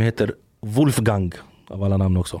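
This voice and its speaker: Here is a man with a dark, mellow tone. He keeps a moderate pace. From Sweden, Gothenburg (Angered). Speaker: former salafist preacher. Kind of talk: interview. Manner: animated; halting.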